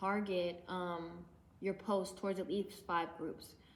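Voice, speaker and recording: A plain, everyday voice speaks at a moderate pace. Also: woman. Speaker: independent musician and YouTuber. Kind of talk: casual tutorial vlog. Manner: casual, with many fillers.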